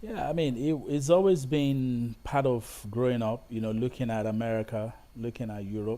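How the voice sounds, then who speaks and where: A man speaks at a moderate pace with hardly any pauses. His tone is dark and mellow. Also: medium pitch for a man, ordinary pitch variation. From Nigeria, Ibadan. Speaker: film and TV director. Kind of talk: interview conversation. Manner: halting, many repetitions.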